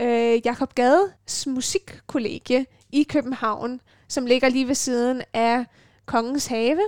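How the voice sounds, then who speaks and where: At a very slow pace, a woman with a high pitch and ordinary pitch variation speaks in a dry, close sound with no echo, on a very clean recording with a silent background. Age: 20s. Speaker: radio host and violinist. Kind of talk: casual chat. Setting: student's room at a music dormitory.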